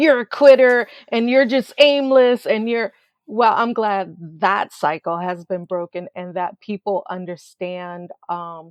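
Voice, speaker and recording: A woman with an American accent and an unremarkable speaking voice, medium-pitched with lively intonation, at a fairly slow pace with big swings in loudness. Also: dry, close sound with no echo, quiet background. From Florida, St. Petersburg. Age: 60s. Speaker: children's entertainer and educator. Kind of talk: interview.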